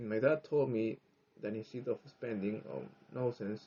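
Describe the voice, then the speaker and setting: With a Spanish accent, this voice moves at a moderate pace and shows ordinary pitch variation. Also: man. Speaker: English learner, vlogger. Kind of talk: personal monologue. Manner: halting.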